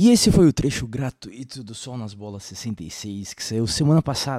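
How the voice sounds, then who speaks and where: Captured on a very clean recording with a silent background, a man's dark, mellow tone comes through dry and close with no echo. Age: 30s. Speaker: podcast host. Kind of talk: promo outro.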